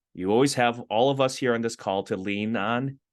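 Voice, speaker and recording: This man has a plain, everyday voice at a medium pitch, speaking at a moderate pace with ordinary pitch variation over a quiet background. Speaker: entrepreneur in residence, business mentor. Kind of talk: online info session presentation.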